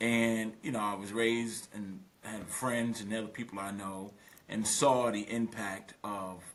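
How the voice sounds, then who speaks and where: With an American accent, a man talks at a fairly slow pace and a fairly low pitch. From Brooklyn, New York, West Indian roots. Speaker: business litigation lawyer. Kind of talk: podcast interview. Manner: animated.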